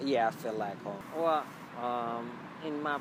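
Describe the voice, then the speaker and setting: A man speaks with a non-native accent. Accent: foreign. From Ethiopia. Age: 30s. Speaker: immigrant interviewee. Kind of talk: interview. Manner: halting, many fillers.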